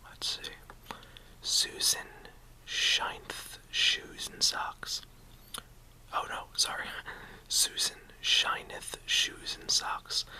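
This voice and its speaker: Whispering at a very slow pace with long, frequent pauses, a man is heard against noticeable background noise. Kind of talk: ASMR whisper reading of tongue twisters. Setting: mouth close to camera, casual home video. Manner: whispered, relaxing; chewing gum while speaking.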